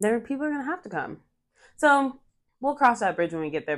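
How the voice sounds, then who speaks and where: A woman speaks in an animated tone. The background is quiet. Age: 20s. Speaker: podcast co-host. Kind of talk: casual chat.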